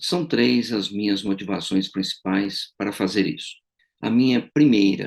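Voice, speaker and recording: With vocal fry and a fairly low pitch, a man speaks at a moderate pace. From Brazil. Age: 60s. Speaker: retired engineering professor. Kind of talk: political testimony to camera. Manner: formal.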